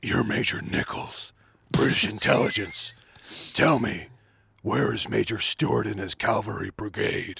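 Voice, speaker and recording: At a moderate pace, a man speaks in a fairly low, raspy voice with a menacing tone. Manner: menacing, low.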